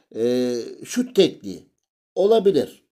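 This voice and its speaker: At a fairly slow pace, a man with a dark, mellow tone speaks with very wide pitch swings. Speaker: gaming YouTuber. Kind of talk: tutorial. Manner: hesitant, frequent filler sounds.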